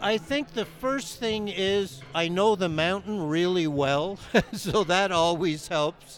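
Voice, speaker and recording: Lively intonation at a very slow pace. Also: man. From Canada. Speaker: ski instructor. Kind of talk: casual interview. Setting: at a ski resort event.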